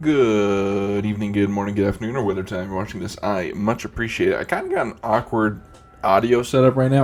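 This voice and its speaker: Man at a fairly low pitch and moderate pace, fairly even intonation, music in the background. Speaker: gaming streamer. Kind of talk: gameplay commentary. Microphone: mic close to face, may peak.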